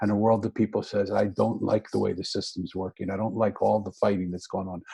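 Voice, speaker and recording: A man with an American accent speaks at a fairly quick pace and fairly low pitch. His tone is dark and mellow, with vocal fry. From Philadelphia, US. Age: 60s. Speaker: author and speaker. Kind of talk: interview conversation. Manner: animated.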